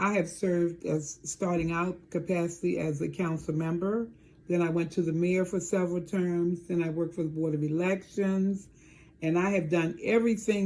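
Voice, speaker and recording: A woman with an American accent speaks at a fairly low pitch in a dark, mellow tone with fairly even intonation. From Maryland, near Washington DC. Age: 70s. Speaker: town mayor. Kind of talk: interview.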